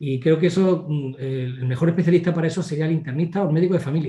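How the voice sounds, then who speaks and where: At a very fast pace, a man talks in a dark, mellow tone with a fairly high pitch and fairly even intonation. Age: 60s. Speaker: family doctor. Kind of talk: interview.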